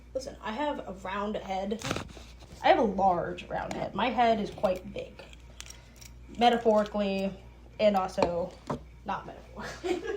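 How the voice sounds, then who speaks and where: A woman speaks in an animated tone at a medium pitch, with ordinary pitch variation and a moderate pace broken by long, frequent pauses. The room echo is audible, loudness swings widely, and background noise is noticeable. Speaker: podcaster. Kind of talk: casual monologue.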